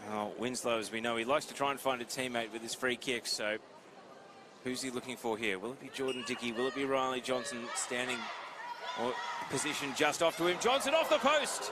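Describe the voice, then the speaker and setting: Over noticeable background noise, a man talks at a fairly quick pace. His pitch is medium and his intonation fairly even. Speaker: play-by-play commentator. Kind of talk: live sports commentary. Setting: commentator's table at live event. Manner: lowered voice.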